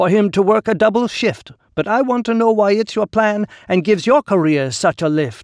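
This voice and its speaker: In a put-on character voice, a man drawls at a moderate pace in a high pitch against a quiet background. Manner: slow, drawling, wry.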